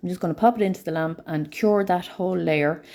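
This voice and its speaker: The voice has a dark, mellow tone and an Irish accent. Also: woman. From Ireland. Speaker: nail art educator. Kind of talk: live tutorial. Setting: live stream.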